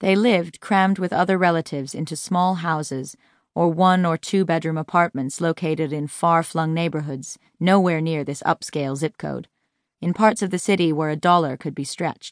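A woman with a plain, everyday voice speaks at a moderate pace in a fairly low pitch with fairly even intonation. The sound is dry and close with no echo, against a quiet background. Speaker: audiobook narrator. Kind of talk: audiobook reading, scripted narration of nonfiction. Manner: measured, even storytelling pace.

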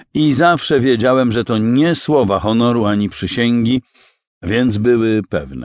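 Against a quiet background, a man with an unremarkable speaking voice talks fairly slowly at a medium pitch with ordinary pitch variation and very even loudness. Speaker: audiobook narrator. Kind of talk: audiobook narration, read aloud from the author's preface with a quoted passage. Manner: formal, measured and solemn, reflective and earnest tone.

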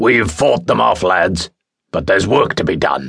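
A man puts on a character voice that is very deep, raspy and rumbling, delivered at a moderate pace. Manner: bellowing.

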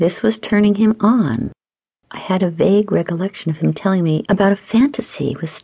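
Ordinary pitch variation runs through a natural reading voice. The background is quiet.

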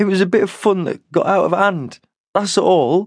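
In a put-on character voice, a man talks raspy and hoarse at a high pitch, with ordinary pitch variation and a moderate pace.

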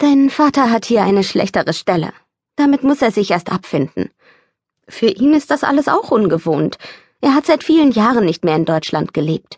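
A woman's put-on character voice, fairly high-pitched, strained and tired, swings very widely in pitch at a moderate pace. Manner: tired, strained.

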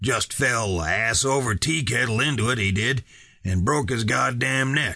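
A man puts on a gruff, growling character voice with lively intonation at a moderate pace. The background is quiet. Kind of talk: rough, colloquial. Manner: growling, gruff.

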